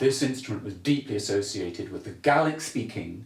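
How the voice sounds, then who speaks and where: A man talks with lively intonation and a somewhat breathy voice in a room with audible echo. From Scotland, Glasgow. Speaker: bagpiper and music historian. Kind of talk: casual interview chat. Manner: halting, many repeated words.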